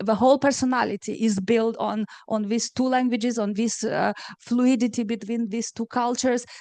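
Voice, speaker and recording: A woman with a Romanian accent speaks at a moderate pace in a fairly high pitch with fairly even intonation and a dark, mellow tone, the sound dry and close with no echo. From Moldova, Chisinau. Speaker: novelist. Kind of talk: panel discussion. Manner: hesitant, many fillers.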